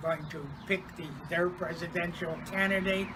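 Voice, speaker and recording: Noticeable background noise sits under a man's high, monotone voice with flat intonation. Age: 80s+. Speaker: former civil rights worker and retired union organizer. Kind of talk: personal recollection to camera. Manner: hesitant, with frequent fillers.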